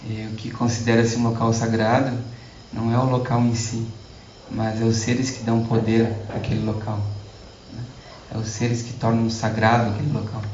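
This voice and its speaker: A man speaks at a moderate pace in a medium pitch with monotone, flat intonation and long, frequent pauses, amid audible room echo and noticeable background noise. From Brazil. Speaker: Buddhist lama. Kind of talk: lecture. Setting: stage with audience. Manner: halting.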